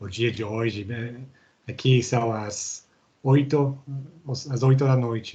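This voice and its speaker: A man's somewhat breathy, medium-pitched voice with a dark, mellow tone, very slow pace and fairly even intonation. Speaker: human rights researcher and lecturer. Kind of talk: online lecture. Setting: video call. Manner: halting, many fillers.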